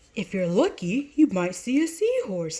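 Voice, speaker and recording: A woman puts on a character voice, high-pitched with very wide pitch swings, speaking at a moderate pace. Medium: read story.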